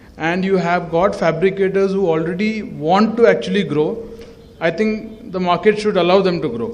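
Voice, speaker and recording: A man speaks loudly in a high pitch. There is audible echo from the room. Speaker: facade consultant presenter. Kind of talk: presentation at an event.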